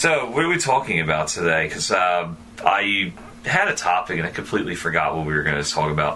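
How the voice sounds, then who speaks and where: Noticeable background noise surrounds a man with a very deep, low pitch. He talks at a fairly quick pace with lively intonation. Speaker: podcast host. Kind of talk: casual chat. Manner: stuttering.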